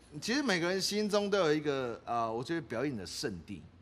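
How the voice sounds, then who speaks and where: A man in a fairly high voice at a fairly quick pace, with very wide pitch swings and audible room echo. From Taiwan, Taitung. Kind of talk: casual chat. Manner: animated, many fillers and laughs.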